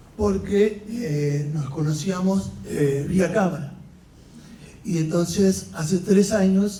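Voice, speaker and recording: Speaking at a very slow pace, a man with a high voice is heard with audible room echo. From Argentina, Venado Tuerto, Santa Fe. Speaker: conference panelist. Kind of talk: conference panel talk.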